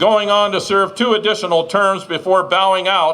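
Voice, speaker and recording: Over noticeable background noise, a man uses a raised, projected voice pitched high. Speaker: master of ceremonies. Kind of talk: formal introduction speech.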